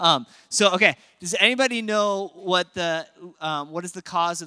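A man with an American accent speaks at a moderate pace in a high pitch with a bright, sharp tone. His intonation is lively, and the recording is very clean with a silent background. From Minnesota, Apple Valley. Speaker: pastor. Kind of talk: sermon. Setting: church.

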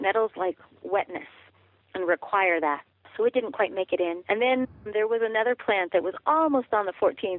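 With an American accent, a woman uses an ordinary speaking voice pitched fairly high. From Colorado, US. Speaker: author and wild food forager. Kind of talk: interview.

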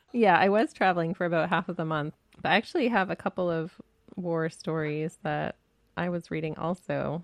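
A woman with an unremarkable speaking voice talks at a moderate pace with fairly even intonation and a fairly low pitch, the sound dry and close with no echo. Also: quiet background. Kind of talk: casual chat about books.

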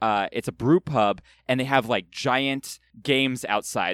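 A man with an American accent has a plain, everyday voice at a medium pitch, moving at a moderate pace with ordinary pitch variation. The recording is very clean with a silent background, and the sound is dry and close with no echo. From California. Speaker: guest podcaster. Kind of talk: casual chat.

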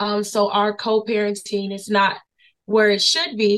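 Here is a woman with a medium pitch. She speaks with an American accent. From Florida, Brevard County. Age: young. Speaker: community association vice president. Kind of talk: casual interview.

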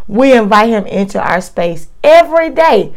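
Noticeable background noise sits behind a woman speaking. Her intonation is lively. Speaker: preacher. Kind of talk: fervent prayer. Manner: rhythmic, repetitive, pleading; earnest, heartfelt, devout.

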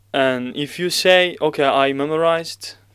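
A man's fairly high-pitched voice in a Turkish accent, fairly slow and fairly even in intonation, on a very clean recording with a silent background. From Turkey. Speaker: Quran reciter. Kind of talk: podcast interview. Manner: halting.

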